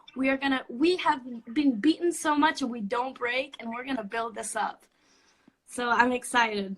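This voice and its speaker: A woman with a Spanish accent speaks in a high voice at a moderate pace. Her pitch varies an ordinary amount, while her loudness swings a lot. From Puerto Rico. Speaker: student. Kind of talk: casual chat.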